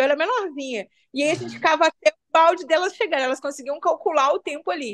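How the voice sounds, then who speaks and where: Here a woman speaks at a very fast pace and a high pitch. Her intonation is lively. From Brazil, Belo Horizonte favela. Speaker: community leader and cultural manager. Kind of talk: interview conversation.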